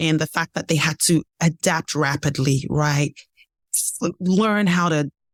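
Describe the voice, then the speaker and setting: A woman speaks with a Nigerian accent. Her pitch is fairly low. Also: very clean recording, silent background. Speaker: leadership development expert and keynote speaker. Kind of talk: podcast interview answer.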